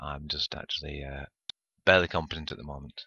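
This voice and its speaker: Vocal fry marks this man's very deep, low voice. He speaks at a moderate pace. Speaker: gaming YouTuber. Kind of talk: gameplay commentary. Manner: hesitant with many fillers.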